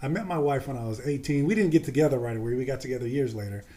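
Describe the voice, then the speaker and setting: Talking at a very fast pace, a man with an American accent uses a fairly high pitch and lively intonation. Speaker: former pro football player. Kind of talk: podcast interview.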